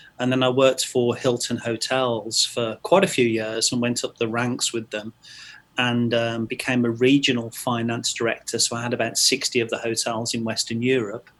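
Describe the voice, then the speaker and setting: A man's medium-pitched voice with an English accent, monotone, flat intonation and a moderate pace. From England, Stratford-upon-Avon. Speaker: training company owner, accountant. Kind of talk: podcast interview. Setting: podcast.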